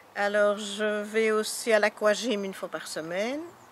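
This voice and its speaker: Very slowly, a woman speaks through noticeable background noise. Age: 60s. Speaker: retired social worker. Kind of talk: interview. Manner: halting.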